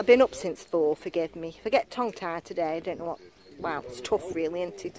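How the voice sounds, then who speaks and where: A woman speaks at a very fast pace and a fairly low pitch, with lively intonation and big swings in loudness. The sound is dry with no echo, but there is noticeable background noise. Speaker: metal detecting vlogger. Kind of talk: casual vlog chat. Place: open country. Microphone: phone near.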